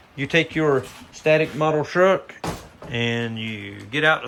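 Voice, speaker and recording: Speech comes at a very slow pace in an eastern North Carolina accent. The intonation is lively and the tone relaxed. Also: man. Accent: Southern US (eastern North Carolina). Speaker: model railroad hobbyist. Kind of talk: casual video walkthrough. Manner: relaxed, hesitant with fillers.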